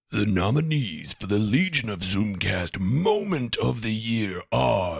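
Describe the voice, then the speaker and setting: A man uses a put-on character voice, raspy and fairly low-pitched. He goes at a fairly slow pace with hardly any pauses. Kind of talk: grand, showy announcer style. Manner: pompous, exaggerated.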